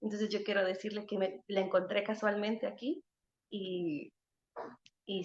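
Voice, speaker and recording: This is a woman speaking. Her voice is fairly high. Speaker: singer-songwriter. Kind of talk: panel talk. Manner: halting, many repetitions.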